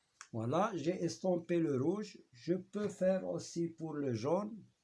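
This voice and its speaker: In a strong Moroccan accent, a man speaks with a dark, mellow tone. His pitch sits high. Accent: Moroccan accent in French, heavy. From Morocco. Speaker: teacher. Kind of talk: tutorial. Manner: halting.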